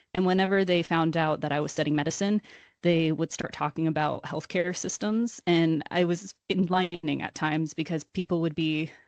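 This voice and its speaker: Fairly quick speech in a normal speaking voice with an American accent and ordinary pitch variation. The sound is dry and close with no echo, and the background is quiet. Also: woman. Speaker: university student. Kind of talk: casual chat.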